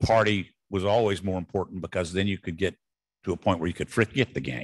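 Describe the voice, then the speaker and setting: Against a quiet background, a man talks in a Southern US accent. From US South. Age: 70s. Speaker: retired sports bowl executive. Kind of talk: after-dinner speech. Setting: stage with audience.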